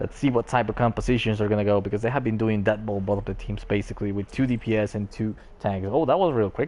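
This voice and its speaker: A man speaks very fast with hardly any pauses, his voice fairly low with a dark, mellow tone. His intonation stays fairly even. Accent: non-native. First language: not English. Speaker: esports caster. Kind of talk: live commentary. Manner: casual, joking.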